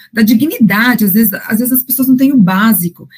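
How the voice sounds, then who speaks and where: Somewhat breathy, this voice is a woman's. Her pitch is fairly high. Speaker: financial educator and coach. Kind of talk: interview. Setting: podcast.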